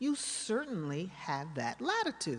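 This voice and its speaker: A woman's voice with an American accent and very wide pitch swings. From US. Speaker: art historian. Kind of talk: lecture. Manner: animated.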